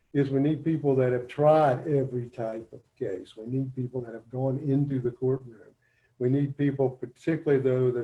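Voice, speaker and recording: Speaking at a moderate pace in a West Virginia accent, a man with a medium pitch and a somewhat breathy voice keeps a monotone, flat intonation while his loudness swings widely. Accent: Appalachian West Virginia. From West Virginia, Braxton County. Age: 60s. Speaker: judicial candidate, family court judge. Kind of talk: campaign speech at virtual town hall. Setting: video call.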